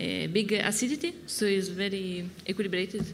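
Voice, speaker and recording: A woman's medium-pitched voice with a strong Italian accent, fairly slow in pace, with ordinary pitch variation. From northern Italy, Piedmont. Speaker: winemaker. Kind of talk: live talk-tasting conversation. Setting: stage with audience at a wine fair. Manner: halting, hesitant in English; laughs often.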